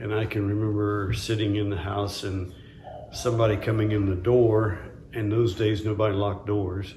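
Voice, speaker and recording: Flat and monotone, a man's fairly low voice moves at a moderate pace amid audible room echo and noticeable background noise. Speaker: interviewee recalling wartime childhood. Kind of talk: oral history interview. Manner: halting.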